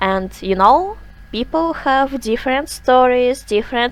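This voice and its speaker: A woman with a non-native accent and a fairly high pitch, music in the background. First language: not English. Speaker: digital artist, art YouTuber. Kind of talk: art tutorial talk. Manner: halting, many fillers.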